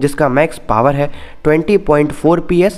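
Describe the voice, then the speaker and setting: The voice belongs to a man and sits fairly high. Its pitch rises and falls in an ordinary way. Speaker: motorcycle YouTuber. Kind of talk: product review video.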